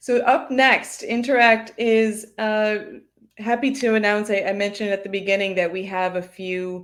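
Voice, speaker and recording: A woman with an American accent and a fairly high pitch speaks at a moderate pace with fairly even intonation. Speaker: marketing executive, webinar host. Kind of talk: webinar hosting.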